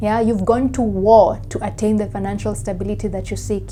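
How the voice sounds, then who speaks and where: Room echo is audible. Background noise is noticeable. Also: woman. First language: not English. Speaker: psychic tarot reader. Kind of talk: pick-a-card tarot reading. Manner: conversational, with frequent fillers.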